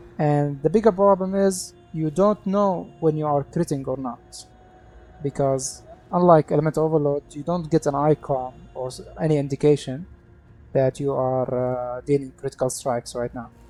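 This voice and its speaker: Moderate-paced speech with a non-native accent over music in the background. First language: not English. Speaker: video game content creator. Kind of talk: gameplay tutorial. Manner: halting.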